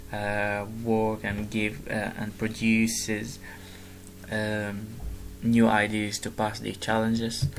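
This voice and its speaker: A man with an Arabic accent speaks very slowly in a fairly low, monotone, flat voice, with music in the background and audible room echo. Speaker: gamer vlogger. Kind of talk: casual explanation of a presentation. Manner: halting, many fillers and restarts.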